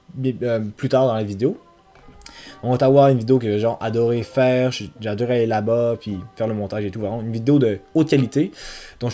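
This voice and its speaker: Fairly quick in pace, a man with a dark, mellow tone speaks at medium pitch with ordinary pitch variation. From Quebec City, French mother. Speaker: travel vlogger. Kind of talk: casual year-in-review vlog. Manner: hesitant, many fillers.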